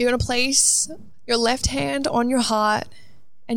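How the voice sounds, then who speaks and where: A woman with an Australian accent talks at a fairly slow pace. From Australia, Melbourne. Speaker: motivational speaker. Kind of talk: guided meditation; solo motivational monologue. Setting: outdoors on a balcony.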